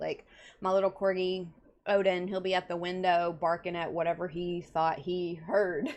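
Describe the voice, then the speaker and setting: Here a woman speaks with a Texas accent and medium pitch. Her pace is fairly slow. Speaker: counselor and live show host. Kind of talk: casual chat. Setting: home bedroom, livestream. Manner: animated.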